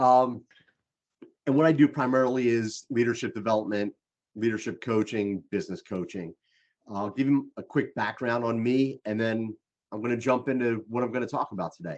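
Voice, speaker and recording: A man with a Philadelphia accent speaks at a moderate pace and medium pitch, with ordinary pitch variation, against a quiet background. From Philadelphia, US. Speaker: leadership coach. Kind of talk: presentation to a group.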